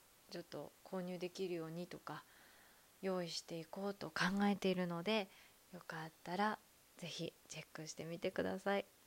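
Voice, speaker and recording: A soft-spoken woman with fairly low pitch, monotone, flat intonation and a moderate pace. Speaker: podcaster, former call center worker. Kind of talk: casual monologue.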